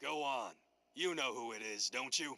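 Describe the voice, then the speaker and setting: A man uses a raspy, put-on character voice at a medium pitch. He keeps a moderate pace with ordinary pitch variation. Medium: video game.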